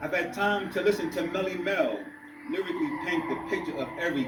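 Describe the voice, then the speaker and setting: Amid noticeable background noise and audible room echo, a man with an American accent speaks at a moderate pace. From New York City, Harlem. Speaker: poet. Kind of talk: spoken word poetry performance. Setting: library reading with audience.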